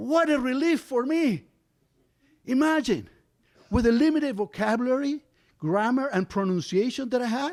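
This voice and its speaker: On a very clean recording with a silent background, a man with a Spanish accent speaks at a moderate pace in an extremely high voice, with lively intonation, very even loudness and long, frequent pauses. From Argentina. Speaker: storyteller. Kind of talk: live storytelling.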